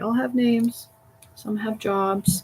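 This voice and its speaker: A woman talks fairly slowly in a somewhat breathy voice, her pitch varying in an ordinary way. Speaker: voice actor. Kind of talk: casual talk to camera explaining voiceover character process. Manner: chatty, humorous, rambling.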